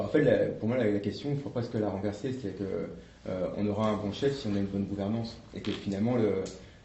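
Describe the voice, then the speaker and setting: A man talks very fast in a fairly low voice with fairly even intonation. Audible room echo and noticeable background noise surround him. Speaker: association representative. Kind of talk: workshop presentation with discussion. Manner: hesitant, many fillers.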